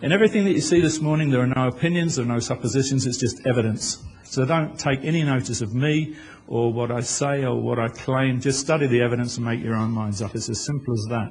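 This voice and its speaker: A man's medium-pitched, somewhat breathy voice at a very fast clip, with ordinary pitch variation and audible room echo. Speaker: author and conference speaker. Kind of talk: conference presentation. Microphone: poor original audio, remixed.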